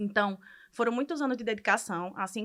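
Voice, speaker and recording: On a very clean recording with a silent background, a woman speaks in a plain, everyday voice with ordinary pitch variation. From Brazil, Ceará. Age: 30s. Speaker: medical student. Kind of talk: podcast interview, personal story.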